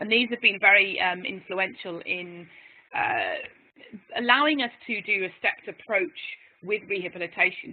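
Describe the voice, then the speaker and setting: A woman with an English accent speaks at a moderate pace in a medium pitch, her intonation lively. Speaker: physiotherapist. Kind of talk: webinar presentation. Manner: animated.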